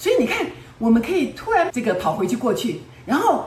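A woman speaks in a fairly high, animated voice with very wide pitch swings. Noticeable background noise and audible room echo surround her. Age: 70s. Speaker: self-help teacher. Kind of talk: lecture.

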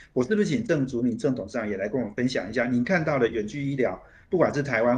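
A man talks at a medium pitch, sounding somewhat breathy. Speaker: radio host. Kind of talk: radio interview. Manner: frequent fillers and hesitations.

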